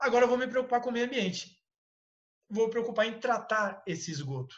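A man speaks with lively intonation. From São Paulo, Brazil (Itaquera). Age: 40s. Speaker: professor and biologist. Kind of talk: online lecture. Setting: video call.

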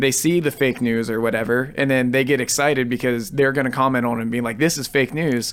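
A plain, everyday voice: a man with an American accent, medium pitch, fairly even intonation and a fairly quick pace. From Ohio, Cambridge. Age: 20s. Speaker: musician. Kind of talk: casual chat. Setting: studio.

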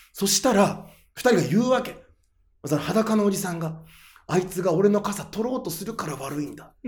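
In an animated tone with audible room echo, the speaker moves at a moderate pace, with ordinary pitch variation and big swings in loudness. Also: man, high pitch for a man. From Japan, Aomori (Hachinohe). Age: 30s. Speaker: comedian. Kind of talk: casual interview chat. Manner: animated storytelling.

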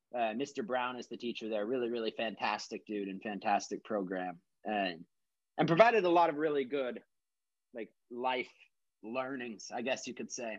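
A man with an American accent has an unremarkable speaking voice of medium pitch, with ordinary pitch variation and a moderate pace. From Texas. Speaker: musician. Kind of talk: casual chat. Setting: remote call with earbuds.

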